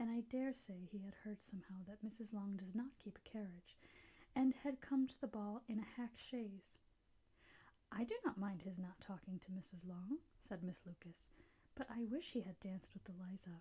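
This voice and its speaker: The voice is whispering and soft-spoken. The pace is moderate. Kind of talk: ASMR soft-spoken audiobook reading of a classic novel. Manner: soft-spoken, whispery.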